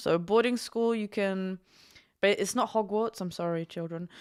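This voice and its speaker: A woman with an English accent speaks at medium pitch and a moderate pace on a very clean recording with a silent background. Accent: English-sounding. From Germany, schooled in England. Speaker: package delivery driver and horse groomer. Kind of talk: casual chat.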